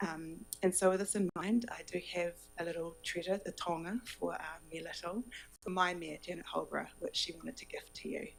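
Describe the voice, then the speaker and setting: A woman with a New Zealand accent, fairly low in pitch, with ordinary pitch variation and a fairly quick pace, over music in the background. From New Zealand, Kapiti Coast. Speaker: local government advisor on exchange visit. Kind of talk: formal presentation.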